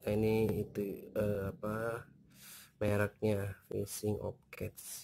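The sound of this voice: A man speaks at a slow pace and a fairly low pitch, monotone and flat. His tone is slightly mellow, with vocal fry.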